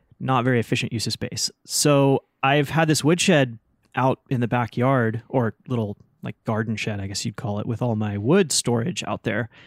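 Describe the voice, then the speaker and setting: With an unremarkable speaking voice, a man talks using ordinary pitch variation. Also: medium pitch for a man, moderate pace, dry, close sound with no echo. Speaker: woodworker and podcast host. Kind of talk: casual chat. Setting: remote recording from woodshop. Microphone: new microphone.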